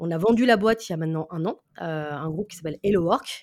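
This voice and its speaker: A plain, everyday voice at a moderate pace, on a very clean recording with a silent background. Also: woman. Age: 30s. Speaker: sales professional. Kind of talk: interview.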